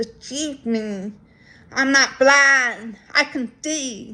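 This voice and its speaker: A woman's raised, projected voice at a high pitch. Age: adult. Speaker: deaf vlogger. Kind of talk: personal vlog monologue. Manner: many fillers (um, so).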